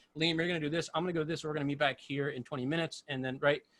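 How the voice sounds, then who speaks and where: A man with an American accent. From United States. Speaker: live sound engineer; guest. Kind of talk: casual panel discussion. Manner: fast. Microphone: video call.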